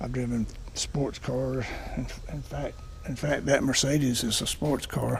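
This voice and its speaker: A man talks at a fairly slow pace, leaving long, frequent pauses, with audible room echo and noticeable background noise around him. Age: 70s. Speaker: car owner reviewer. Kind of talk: casual video review. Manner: halting.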